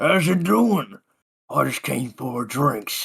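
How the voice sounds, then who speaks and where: A man's raspy, put-on character voice at a medium pitch, very slow, with very wide pitch swings. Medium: actual play. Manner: cocky, joking.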